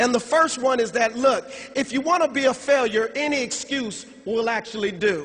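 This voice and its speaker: An animated tone over noticeable background noise. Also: man, extremely high pitch for a man, ordinary pitch variation, moderate pace. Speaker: network marketing distributor giving convention speech. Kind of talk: motivational speech.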